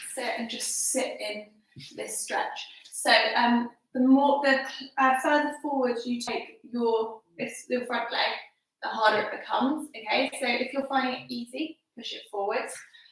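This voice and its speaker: Her pitch high and her intonation fairly even, a woman speaks at a fairly slow pace with big swings in loudness. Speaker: fitness instructor. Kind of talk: workout instruction. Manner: casual, chatty.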